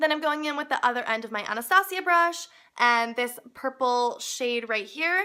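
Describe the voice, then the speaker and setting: A woman's high-pitched, raised and projected voice with lively intonation at a moderate pace. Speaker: beauty blogger. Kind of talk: makeup tutorial narration.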